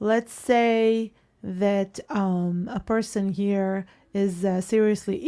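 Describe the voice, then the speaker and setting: This woman has a dark, mellow tone at a medium pitch, captured in a very clean recording with a silent background. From Israel. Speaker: interviewee. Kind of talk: casual chat.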